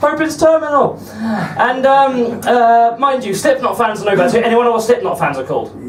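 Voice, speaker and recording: An extremely high-pitched man with ordinary pitch variation, amid audible room echo and noticeable background noise. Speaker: comedian. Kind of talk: stand-up. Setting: stage with audience. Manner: very fast; halting.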